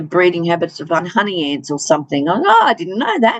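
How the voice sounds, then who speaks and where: Speaking at a fairly quick pace in an Australian accent, a woman uses lively intonation at a medium pitch. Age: 60s. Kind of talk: interview. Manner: hesitant, many fillers.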